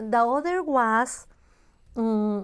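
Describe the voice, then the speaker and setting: A woman with a Spanish accent, fairly high pitch, ordinary pitch variation, and a very slow pace on a very clean recording with a silent background. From Mexico, Guadalajara. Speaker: church ministry director. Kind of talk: oral history interview. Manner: halting, searches for English words.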